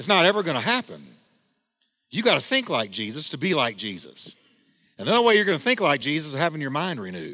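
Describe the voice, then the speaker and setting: A man's fairly high, bright, sharp voice with vocal fry and very wide pitch swings, at a very fast pace with long, frequent pauses, in a very clean recording with a silent background. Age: 50s. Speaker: pastor. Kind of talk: sermon.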